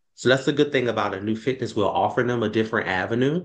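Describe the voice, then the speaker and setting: A man talks in a New Orleans accent. His pitch variation is ordinary. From New Orleans, Louisiana. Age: 30s. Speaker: fitness program founder. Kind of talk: interview. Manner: halting, many fillers.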